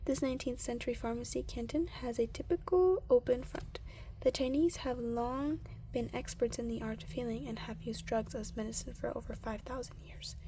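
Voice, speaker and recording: The speaker is soft-spoken, with a calm tone and a fairly quick pace. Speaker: ASMR creator. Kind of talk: ASMR reading of a science book. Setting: close-mic with page flipping. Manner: soft-spoken, calm.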